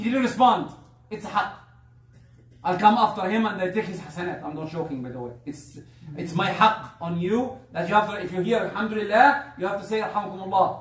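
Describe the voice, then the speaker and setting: High-pitched male voice at a moderate pace, with audible room echo and noticeable background noise. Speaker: Islamic preacher. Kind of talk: religious talk. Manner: halting.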